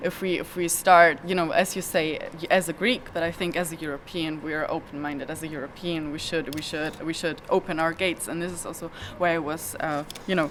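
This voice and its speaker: Over noticeable background noise, a woman with a fairly low pitch speaks at a fairly quick pace with fairly even intonation. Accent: German. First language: German. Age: 20s. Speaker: activist. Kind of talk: interview. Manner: halting, many repetitions.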